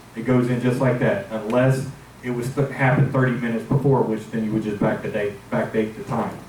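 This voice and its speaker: A man's medium-pitched voice is heard with audible room echo and noticeable background noise. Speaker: security supervisor presenting to board. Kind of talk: meeting presentation. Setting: board meeting with microphone.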